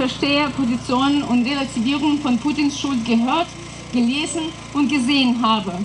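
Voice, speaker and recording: There is noticeable noise in the background. A woman talks in a high voice. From Russia, northwest. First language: Russian (speaking German). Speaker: activist. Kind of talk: prepared speech.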